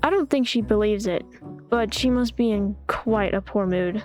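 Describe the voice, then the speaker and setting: A woman at a fairly high pitch and a very slow pace, with music in the background. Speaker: visual novel let's play narrator. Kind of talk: reading a visual novel aloud. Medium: read story.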